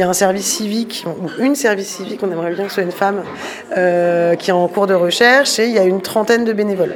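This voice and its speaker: A very fast woman's voice at medium pitch, with ordinary pitch variation, audible room echo and noticeable background noise. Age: 30s. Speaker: volunteer bike repair workshop organizer. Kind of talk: casual interview and workshop tour.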